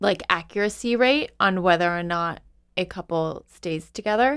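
At a moderate pace, a woman with an ordinary speaking voice talks at a medium pitch on a very clean recording with a silent background. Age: 30s. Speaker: podcast co-host. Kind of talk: casual chat.

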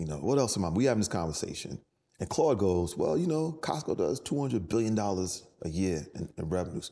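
A man with a New York accent and a dark, mellow tone speaks over a quiet background. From New York City, the Bronx. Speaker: entrepreneur. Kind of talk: interview. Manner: casual.

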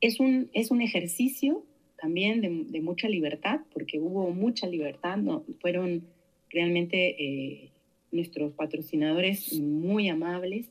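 This woman talks very slowly in a fairly low voice. Her intonation is lively. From Argentina, Santa Fe province. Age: 50s. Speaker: researcher and academic. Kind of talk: interview.

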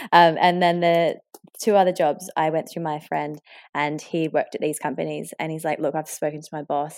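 With an Australian accent, a woman speaks at a moderate pace in a very deep, low voice with monotone, flat intonation. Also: big swings in loudness. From rural Victoria, Australia. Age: 30s. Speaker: airline pilot. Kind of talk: interview conversation.

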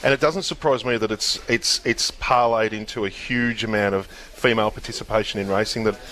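A man talks at a very fast pace and medium pitch. His intonation stays fairly even over noticeable background noise. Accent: Australian. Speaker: racing journalist panelist. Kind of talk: live radio chat.

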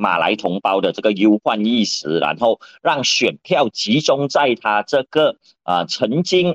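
The background is quiet as a man speaks at a fairly slow pace. His pitch swings very widely while his loudness stays very even. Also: medium pitch for a man, dry, close sound with no echo. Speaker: lawyer and political columnist. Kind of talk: radio current-affairs commentary.

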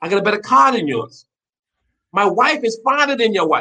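This man's animated, raised voice projects at a high pitch with a bright, sharp tone and a fairly quick pace. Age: 50s. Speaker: chef. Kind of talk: casual chat.

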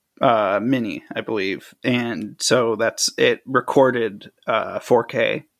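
A man at a very slow pace on a very clean recording with a silent background. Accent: American. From US Midwest, Chicago suburbs. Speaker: independent filmmaker. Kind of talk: interview conversation. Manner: casual, hesitant with fillers.

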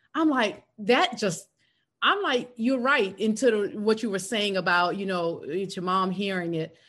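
A woman with an American accent speaks at a fairly slow pace with medium pitch. Her intonation is lively, and the background is quiet. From South Carolina. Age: 50s. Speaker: podcast host and speaker coach. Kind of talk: casual chat.

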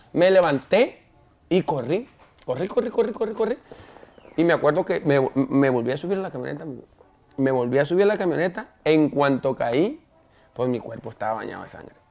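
This man talks at a fairly quick pace and a fairly high pitch, his pitch swinging very widely. He pauses long and often, and there is noticeable background noise. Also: big swings in loudness. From Mexico. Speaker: singer. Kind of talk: interview.

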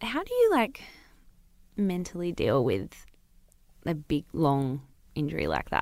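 Speaking at a fairly slow pace, a woman leaves long, frequent pauses. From Newcastle, New South Wales, Australia. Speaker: sports podcast host. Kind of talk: casual chat. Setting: studio. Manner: animated.

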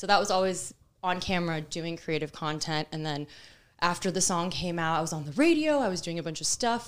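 This woman has a plain, everyday voice, pitched fairly low. She talks at a fairly quick pace on a very clean recording with a silent background. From Miami, Florida (Cuban-American family). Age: 30s. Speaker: local influencer and former PR professional. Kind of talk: casual chat.

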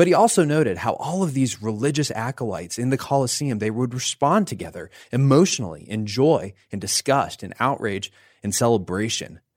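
A man with a normal speaking voice talks at a fairly quick pace and medium pitch, in a very clean recording with a silent background. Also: lively intonation. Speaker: podcast host and pastor. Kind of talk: interview.

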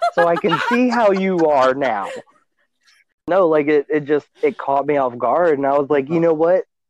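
The voice has a Louisiana accent, lively intonation and a moderate pace. Loudness stays very even in a dry, close sound with no echo. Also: man, fairly high pitch for a man. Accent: Southern US (Louisiana). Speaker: puppet creator and TikTok content creator. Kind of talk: casual chat.

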